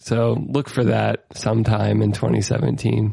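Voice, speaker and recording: In a Midwestern accent, a man speaks at a fairly slow pace. The sound is dry and close, with no echo. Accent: General American (Midwest). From US Midwest (Ohio). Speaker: podcast host, musician. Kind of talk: casual chat. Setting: remote call recording.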